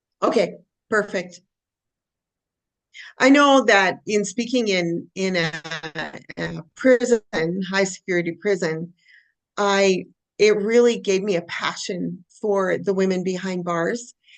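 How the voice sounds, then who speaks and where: Over a quiet background, a woman of medium pitch speaks fairly slowly with ordinary pitch variation and long, frequent pauses. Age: 60s. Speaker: author and speaker. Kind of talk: interview testimony.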